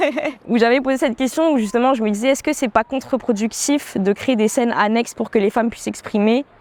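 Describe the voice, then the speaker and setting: A woman talks at a fairly quick pace with hardly any pauses, her high-pitched voice showing ordinary pitch variation. Noticeable background noise sits under her speech. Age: 20s. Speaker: professional dancer and beatmaker. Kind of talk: interview. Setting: outdoor terrace. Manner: hesitant, many fillers.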